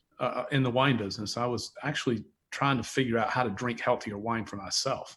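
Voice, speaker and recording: With a Southern US accent, a man speaks at a fairly quick pace in a medium pitch and fairly even intonation. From US South, North Carolina (near Charlotte). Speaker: wine company founder, entrepreneur. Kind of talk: interview conversation.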